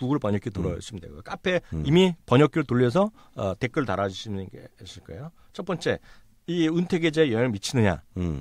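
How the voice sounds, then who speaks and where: A man at a fairly quick pace with very wide pitch swings, in a very clean recording with a silent background. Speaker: professor. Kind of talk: casual expert discussion on market selloff. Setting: recording studio.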